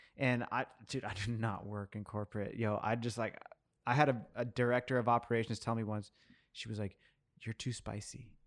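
Here is a man with a plain, everyday voice at medium pitch and fairly even intonation. The recording is very clean, with a silent background. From US, Mexican-American family. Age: 30s. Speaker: coffee professional. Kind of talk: casual chat.

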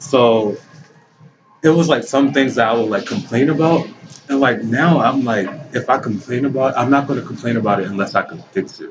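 Someone with an American accent talks at a fairly quick pace with ordinary pitch variation. Noticeable background noise runs underneath. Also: man, medium pitch for a man. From Baltimore, Maryland. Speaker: young entrepreneur, clothing store owner. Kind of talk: interview. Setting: shopping mall.

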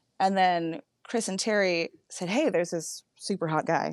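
A plain, everyday voice from a woman with an American accent, fairly low in pitch with ordinary pitch variation, in a dry, close sound with no echo. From Northern California. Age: 30s. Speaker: podcaster. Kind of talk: casual interview chat.

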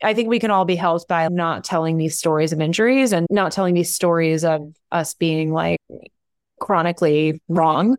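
The speaker goes at a fairly quick pace with fairly even intonation in a very clean recording with a silent background. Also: woman. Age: 40s. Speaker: business founder and CEO. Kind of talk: casual interview conversation.

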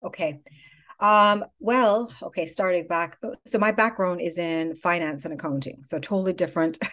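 A woman with an ordinary speaking voice talks at a moderate pace and fairly low pitch, with ordinary pitch variation, against a quiet background. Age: 50s. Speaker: skincare company founder. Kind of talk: interview.

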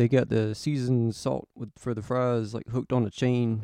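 A man's dark, mellow, relaxed tone at medium pitch, monotone and flat in intonation, at a moderate pace, with a dry, close sound and no echo. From South Carolina. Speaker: podcast host. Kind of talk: casual solo monologue. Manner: relaxed, hesitant with fillers.

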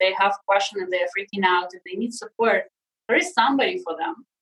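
A woman speaks with a Russian accent. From Russia (Sakhalin, Siberia). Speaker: leadership and personal transformation coach. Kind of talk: casual interview chat. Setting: video call.

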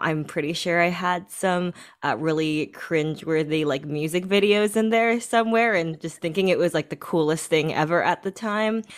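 Speaking with a Canadian accent, a woman has a plain, everyday voice and fairly low pitch. She keeps a moderate pace with hardly any pauses. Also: ordinary pitch variation. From Ontario, Canada. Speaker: photographer. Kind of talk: interview. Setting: remote call.

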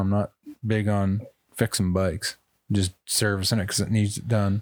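At a fairly low pitch, a man talks fairly quickly in an animated tone. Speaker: podcast host. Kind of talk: casual banter. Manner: animated, joking.

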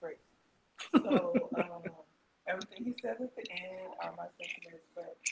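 Quietly and at a moderate pace, a woman speaks with big swings in loudness and long, frequent pauses. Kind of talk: casual chat. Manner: quiet, trying to speak up.

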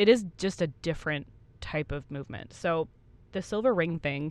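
A woman's ordinary speaking voice, fairly low in pitch with ordinary pitch variation, at a fairly quick pace over a quiet background. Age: 30s. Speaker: podcast co-host. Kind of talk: casual chat.

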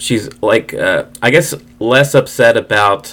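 A man speaks against noticeable background noise. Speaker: podcast co-host. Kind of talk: casual chat.

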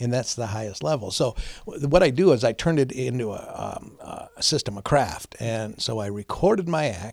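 With an American accent and an unremarkable speaking voice, a man talks at a moderate pace in a medium pitch with lively intonation. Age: 60s. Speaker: veterans charity founder and former stand-up comedian. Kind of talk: casual interview chat. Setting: his office.

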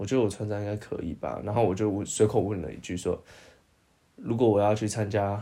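This man's voice is dark and mellow with a fairly low pitch. He keeps a fairly quick pace and fairly even intonation. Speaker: podcast co-host. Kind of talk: casual chat.

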